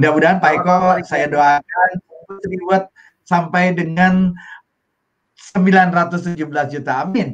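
Against a quiet background, a man with a high pitch speaks at a very slow pace, leaving long, frequent pauses. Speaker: livestream host of business network event. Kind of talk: hosted livestream talk show. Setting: video call livestream. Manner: animated. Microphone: video call.

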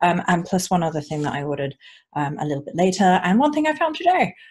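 A somewhat breathy woman's voice, fairly low in pitch, with lively intonation over a quiet background. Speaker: unboxing vlogger. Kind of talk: casual vlog chat. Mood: warm, excited. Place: home room. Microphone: earbuds.

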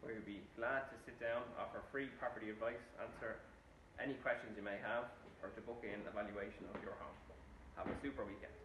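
Noticeable background noise sits behind a man talking at a fairly quick pace. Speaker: estate agent. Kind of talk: corporate promotional talk to camera. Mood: upbeat, professional. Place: office. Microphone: phone near.

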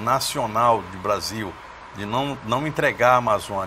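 The speech comes at a fairly slow pace amid noticeable background noise. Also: man. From Brazil. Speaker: TV talk show host. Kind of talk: TV interview. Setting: studio. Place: studio. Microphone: lapel.

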